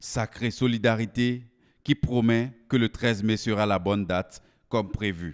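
A man in an ordinary speaking voice talks at a medium pitch and a fairly slow pace, with fairly even intonation. The recording is very clean with a silent background, and the sound is dry and close with no echo. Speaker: news reporter. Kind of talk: news reading, scripted voice-over report. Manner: formal, polished, lyrical delivery with flowery praise.

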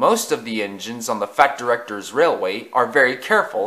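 A natural reading voice carries the whole recording.

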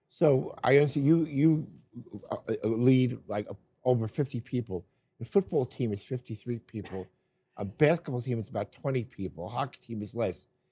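Somewhat breathy and medium in pitch, a man's voice moves with lively intonation. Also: moderate pace. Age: old. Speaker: team media interviewer. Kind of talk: casual interview. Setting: stadium control room. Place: office.

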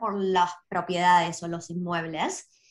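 In an Argentine accent, a woman speaks at a fairly slow pace over a quiet background. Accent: Argentine Spanish (voseo). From Argentina. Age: 30s. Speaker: property investor; guest. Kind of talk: interview. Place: home room. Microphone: video call.

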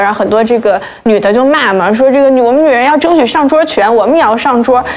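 A woman at a very fast pace with a fairly high pitch. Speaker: talk show guest. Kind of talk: casual chat. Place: studio.

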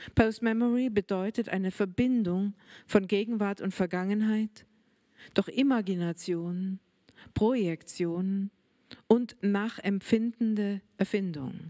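Over a quiet background, a woman speaks at a fairly slow pace with fairly even intonation. Her tone is dark and mellow. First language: German. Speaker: writer. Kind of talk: reading aloud. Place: hall. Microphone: handheld.

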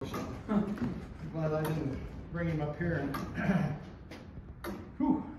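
A man with a fairly high pitch speaks at a very slow pace. Noticeable background noise and audible room echo fill the recording. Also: ordinary pitch variation. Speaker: volunteer courthouse clock keeper. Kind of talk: casual talk while working. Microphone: camera far.

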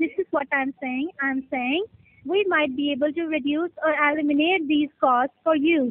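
At a moderate pace, a woman talks in a high pitch with ordinary pitch variation. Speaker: caller. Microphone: phone line.

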